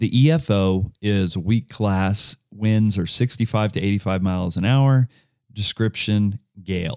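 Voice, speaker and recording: In an American accent, a man speaks at a fairly slow pace with a fairly low pitch and ordinary pitch variation, the sound dry and close with no echo on a very clean recording with a silent background. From US South, Georgia (Lawrenceville, north of Atlanta). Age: 40s. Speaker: podcast host. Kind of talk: casual chat.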